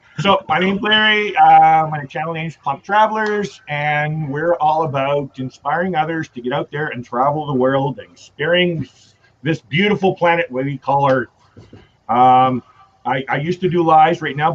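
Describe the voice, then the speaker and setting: A man with a western Canadian accent, fairly high in pitch, with ordinary pitch variation and a moderate pace. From Canada. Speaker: travel vlogger. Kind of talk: casual chat.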